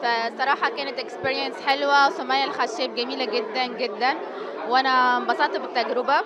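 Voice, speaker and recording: A woman's raised, projected voice, high in pitch with ordinary pitch variation, at a moderate pace, with audible room echo and crowd noise in the background. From Tunisia. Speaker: actress. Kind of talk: interview.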